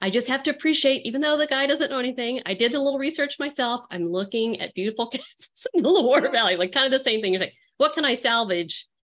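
A woman with a high pitch talks at a very fast pace, hardly pausing. The background is quiet. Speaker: podcast host. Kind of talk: casual interview chat.

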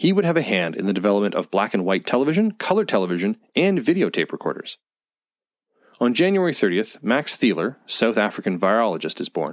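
This man speaks at a very fast pace at a medium pitch, with very wide pitch swings. The sound is dry and close with no echo, on a very clean recording with a silent background. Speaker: podcast host. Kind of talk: scripted narration. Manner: formal, even-paced, measured newsreader delivery.

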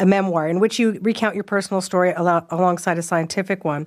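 A woman with a Canadian accent speaks very fast at a medium pitch. The recording is very clean, with a silent background. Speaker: radio host. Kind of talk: radio interview.

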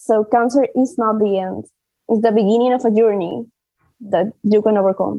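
With a Spanish accent, a woman talks at a fairly high pitch. Her intonation stays fairly even. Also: moderate pace. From Peru. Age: 20s. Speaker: patient advocate and cancer survivor. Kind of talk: interview. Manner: halting, with fillers.

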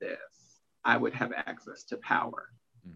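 A man is talking. His pace is fairly slow. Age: 30s. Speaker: life and career coach. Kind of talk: casual chat.

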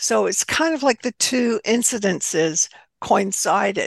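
A woman with an American accent has an unremarkable speaking voice at a medium pitch, speaking at a fairly slow pace with a dry, close sound with no echo. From US South. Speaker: author and spiritualist minister. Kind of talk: interview.

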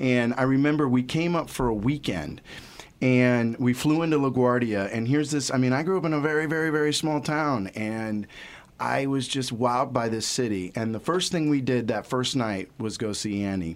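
Speaking with an American accent, a man keeps a medium pitch, ordinary pitch variation and a moderate pace. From Ohio, US Midwest. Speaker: podcast producer. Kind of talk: casual chat.

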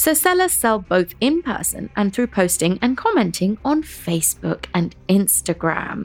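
A woman at a fairly slow pace with hardly any pauses, over noticeable background noise. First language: Tamil. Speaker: podcast co-host. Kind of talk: casual chat with scripted narration.

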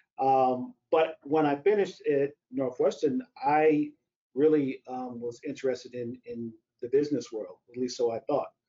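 A man with an American accent and a normal speaking voice, fairly high in pitch with ordinary pitch variation, at a moderate pace with big swings in loudness. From US Midwest, St. Louis, Missouri. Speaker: strength and conditioning coach. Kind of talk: interview about teaching. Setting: live webcast.

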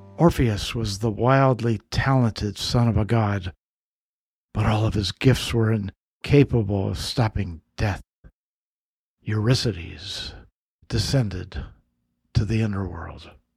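A man's fairly low, somewhat breathy voice in a dramatic tone, with ordinary pitch variation, a fairly slow pace and long, frequent pauses, on a very clean recording with a silent background. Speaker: podcast host and mythologist. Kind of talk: scripted mythic storytelling narration; podcast intro and outro, conversational address to listeners. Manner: measured, dramatic, storyteller's delivery.

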